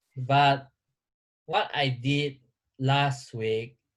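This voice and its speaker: Somewhat breathy, a man talks at a very slow pace in a medium pitch, with ordinary pitch variation. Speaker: vlogger. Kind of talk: casual chat. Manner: halting.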